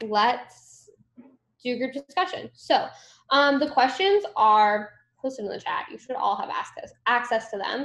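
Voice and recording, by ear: A woman's fairly high, fairly bright voice at a fairly slow pace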